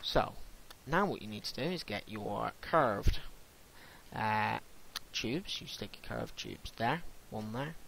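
This man speaks at a fairly slow pace with long, frequent pauses, his bright, sharp tone edged with vocal fry. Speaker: gaming youtuber. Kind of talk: tutorial. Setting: screen recording of gameplay. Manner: halting, many fillers and self-corrections.

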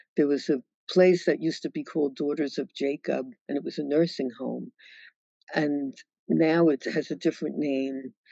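A woman's very deep, low voice comes through over a quiet background. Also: dry sound with no echo. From New York City, Brooklyn. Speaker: author and widow of a sociologist. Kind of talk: virtual book talk Q&A. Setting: video call. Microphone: video call.

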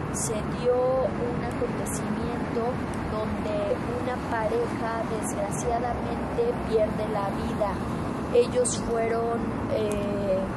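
A woman at a very slow pace, long and frequent pauses, loud background noise behind her. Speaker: presenter. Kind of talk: true-crime on-location report. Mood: serious, somber. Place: street.

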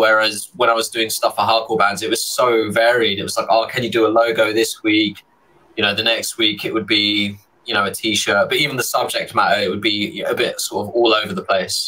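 A London accent at a moderate pace. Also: man. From London, England. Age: 30s. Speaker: illustrator; guest. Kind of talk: casual chat. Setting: video call. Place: home room. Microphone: studio mic.

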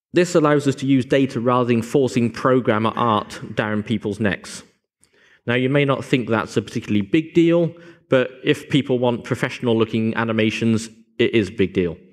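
A man's fairly quick speech, with ordinary pitch variation, stands out against quiet surroundings. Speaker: conference presenter. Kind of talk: lecture. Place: hall.

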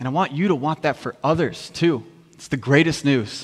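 This man has an American accent and a fairly high pitch for a man, with ordinary pitch variation. He talks at a moderate pace against a quiet background. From US Midwest. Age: 30s. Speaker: worship minister and youth pastor; preacher. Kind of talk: sermon. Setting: church service. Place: church.

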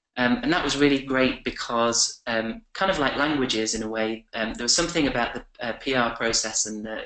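Against a quiet background with audible room echo, a man speaks at a moderate pace. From England. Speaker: communications professional; webinar guest. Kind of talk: webinar presentation. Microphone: webcam.

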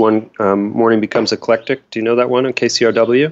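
Here a man speaks at a medium pitch. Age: 50s. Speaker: indie rock guitarist. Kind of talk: casual interview chat.

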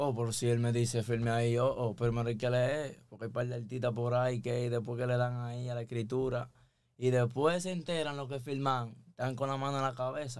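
With a Dominican accent, a man talks at a fairly quick pace. His intonation is fairly even, and the background is quiet. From Dominican Republic. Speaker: musician; guest. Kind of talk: casual chat. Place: studio. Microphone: studio mic.

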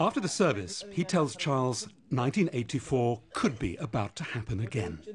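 A man of medium pitch speaks at a moderate pace with vocal fry and very wide pitch swings. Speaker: documentary narrator. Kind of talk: documentary narration.

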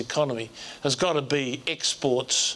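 A man with an Australian accent, speaking at a very slow pace. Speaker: diplomat and former politician. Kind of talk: panel discussion. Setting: stage with audience. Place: hall. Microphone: lapel.

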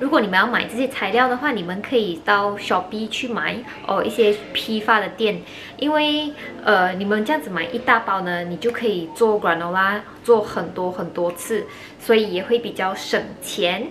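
Over music in the background, a woman speaks at a moderate pace with ordinary pitch variation. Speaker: home cooking vlogger. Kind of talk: casual vlog chat. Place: kitchen. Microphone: phone near.

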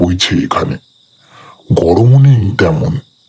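Very slowly, a man speaks in a put-on character voice. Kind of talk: horror narration. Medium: read story. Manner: slow, atmospheric.

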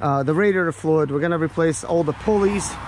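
Over light background noise, a man talks at a fairly quick pace with lively intonation in a dry sound with no echo. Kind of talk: tutorial. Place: open country. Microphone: phone near.

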